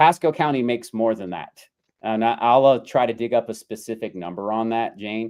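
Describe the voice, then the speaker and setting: This man mumbles at a fairly quick pace. His medium pitch shows ordinary variation. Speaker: realtor and livestream host. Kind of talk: live Q&A stream reading chat comments. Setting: livestream with co-host. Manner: stutters and mumbles; casual, filler-heavy.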